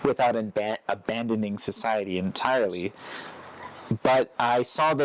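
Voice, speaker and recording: Against noticeable background noise, a man with an American accent speaks at a medium pitch with ordinary variation. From United States. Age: 30s. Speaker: retreat center owner. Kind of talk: interview answer.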